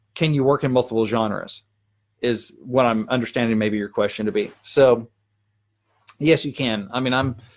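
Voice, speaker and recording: A man speaks at a medium pitch with ordinary pitch variation and long, frequent pauses, in a very clean recording with a silent background. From Arkansas. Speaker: country songwriter. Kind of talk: live stream Q&A. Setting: live video stream. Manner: fast.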